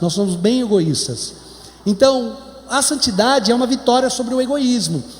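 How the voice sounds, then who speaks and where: A man with a Brazilian accent speaks at an extremely high pitch. Noticeable background noise and audible room echo fill the recording. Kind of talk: sermon. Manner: slow.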